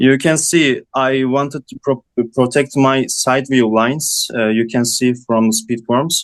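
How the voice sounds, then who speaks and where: A man speaks with a non-native accent at a fairly slow pace. The sound is dry and close, with no echo. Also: medium pitch for a man, fairly even intonation. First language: not English. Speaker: design student. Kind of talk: student project presentation. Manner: halting.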